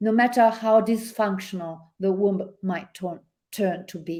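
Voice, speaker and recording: A woman speaks at a fairly slow pace in an Italian accent, her tone dark and mellow. Her intonation is fairly even, while her loudness swings widely. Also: medium pitch for a woman. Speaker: podcast guest, author reading own work.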